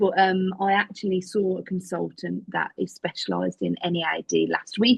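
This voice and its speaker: With an English accent, a woman speaks in a somewhat breathy, fairly low voice. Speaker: podcast guest living with chronic illness. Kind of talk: interview. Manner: occasional tics and stammer.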